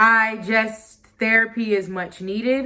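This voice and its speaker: A woman speaks in a bright, sharp tone. Her intonation is monotone and flat. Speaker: vlogger and musician. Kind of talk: personal vlog monologue. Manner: halting, stuttering.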